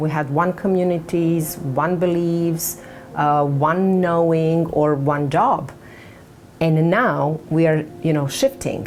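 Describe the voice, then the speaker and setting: A woman in a Serbian accent, very deep, low pitch, very slow pace, with noticeable background noise and audible room echo. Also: very even loudness. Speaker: author. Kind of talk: book announcement to camera. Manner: halting.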